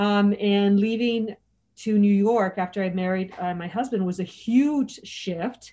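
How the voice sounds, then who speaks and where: In an American accent, a woman speaks at a fairly slow pace and medium pitch with a dark, mellow tone. Her intonation is fairly even, and the background is quiet. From US, California (Los Angeles), Mexican American. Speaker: former Hong Kong expat. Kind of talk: casual chat.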